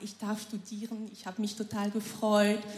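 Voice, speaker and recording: A woman speaks at a moderate pace in a medium-pitched voice, with noticeable background noise behind her. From Cameroon. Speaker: churchgoer sharing testimony. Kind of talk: testimony.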